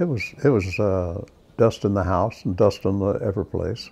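Somewhat breathy, a man with an Oklahoma accent speaks at a fairly low pitch in a dark, mellow tone over light background noise. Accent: Oklahoma, US Southern Plains. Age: 80s+. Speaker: war veteran. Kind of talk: testimony. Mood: warm, reflective. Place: home room. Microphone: lapel.

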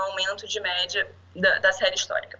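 A woman with a Rio de Janeiro accent. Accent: Carioca Brazilian Portuguese. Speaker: statistician, public safety analyst. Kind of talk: conference talk. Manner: halting, many fillers.

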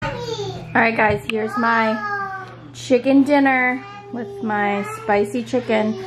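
A woman is heard with clear music in the background. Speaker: vlogger. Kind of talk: casual vlog chat.

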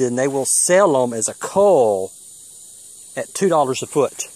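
A man with an American accent, very slow pace, lively intonation, and a dry sound with no echo. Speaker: homesteader vlogger. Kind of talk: casual how-to video. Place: garden. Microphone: phone near.

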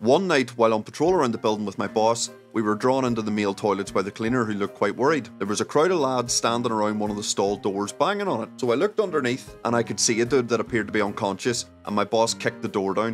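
Over faint background music, a man talks very fast with hardly any pauses and ordinary pitch variation. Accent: Northern Irish. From Northern Ireland. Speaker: former nightclub bouncer. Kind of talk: comedic anecdote storytelling to camera.

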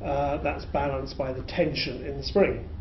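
A man with a British accent talks at a moderate pace. Noticeable background noise sits behind him. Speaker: physics lecturer. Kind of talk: lecture. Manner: explanatory, uses filler words.

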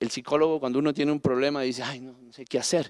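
Quiet background behind a man's voice. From Colombia, Pasto (Nariño). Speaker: national parks director. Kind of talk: panel talk. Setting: stage with audience. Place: stage. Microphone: handheld.

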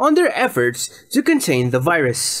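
A man speaks with pitch that swings very widely. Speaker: news reporter. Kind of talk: news report voice-over, rapid roundup of international headlines. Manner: brisk, even-paced newsreader delivery; formal, neutral broadcast tone.

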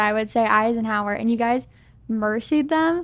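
A woman with a plain, everyday voice talks at a moderate pace and a fairly high pitch. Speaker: sports show interviewer. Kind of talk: interview. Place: studio. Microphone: studio mic.

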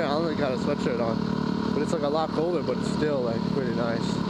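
Loud background noise fills this dry recording with no echo. The speech moves at a moderate pace. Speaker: motorcycle rider vlogger. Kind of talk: casual vlog chat. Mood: relaxed and cheerful. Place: motorbike. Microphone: helmet.

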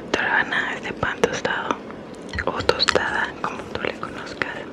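A fairly slow pace carries the words. All of it is whispered. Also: woman. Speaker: ASMR creator. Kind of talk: ASMR eating video. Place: home room. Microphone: studio mic.

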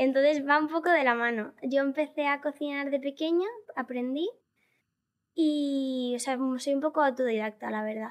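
A woman's high voice against a quiet background. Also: ordinary pitch variation, moderate pace. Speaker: viral content creator; podcast guest. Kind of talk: interview. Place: studio. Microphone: studio mic.

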